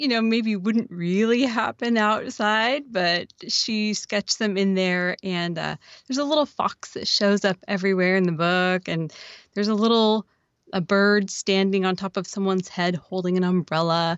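A woman with an American accent speaks in a plain, everyday voice at a medium pitch. Her pace is moderate and her pitch variation ordinary. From Oregon. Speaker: podcaster and children's book author. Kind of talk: casual chat.

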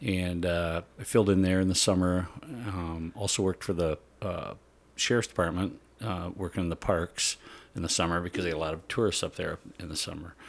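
Heard on a very clean recording with a silent background, a man with an Upper Midwest accent and a very deep, low voice speaks at a moderate pace with fairly even intonation. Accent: Upper Midwest (Minnesota). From central Minnesota. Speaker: senior patrol police officer. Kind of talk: casual interview.

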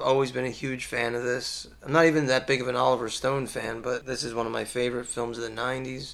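Medium in pitch, a man talks at a very fast pace with hardly any pauses. His intonation is monotone and flat, over noticeable background noise. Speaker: guest film discussant. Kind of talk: casual chat.

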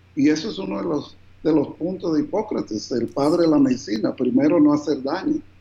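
A fairly high male voice at a fairly quick pace, with lively intonation over noticeable background noise. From New Jersey, raised by Colombian parents. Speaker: physician. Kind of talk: interview.

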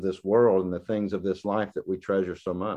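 A man's dark, mellow tone carries over a quiet background. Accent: Southern US. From US South. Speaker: guest preacher. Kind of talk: sermon. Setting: video call. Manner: halting, with many repetitions and fillers.

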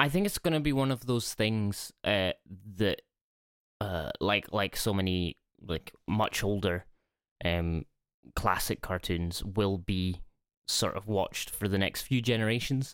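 With a Scottish accent, a man talks at a fairly slow pace and fairly low pitch, using ordinary pitch variation and long, frequent pauses, in a dry, close sound with no echo. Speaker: podcast co-host. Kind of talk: casual chat. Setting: remote call over the internet. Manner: speaking quietly.

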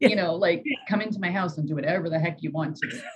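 A woman's somewhat breathy voice sits at a fairly low pitch and shows ordinary pitch variation. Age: 40s. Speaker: life coach. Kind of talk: casual interview chat.

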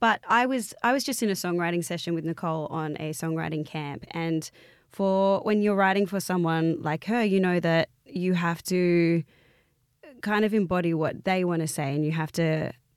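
At a moderate pace, a woman talks at a fairly low pitch with ordinary pitch variation. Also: very clean recording, silent background. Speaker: DJ and singer-songwriter. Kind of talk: casual interview chat. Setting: studio. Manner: animated, enthusiastic.

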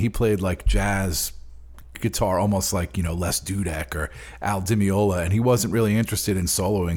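The speaker has a New York accent and a somewhat breathy voice. The pace is fairly quick and the intonation lively. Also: man. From Long Island, New York. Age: 40s. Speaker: bassist. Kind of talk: interview.

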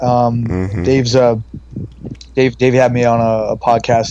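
Against noticeable background noise, a man's medium-pitched voice moves at a fairly quick pace with fairly even intonation. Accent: American. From US West Coast (San Francisco Bay Area). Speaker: model, actor and skincare entrepreneur. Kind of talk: casual interview chat.

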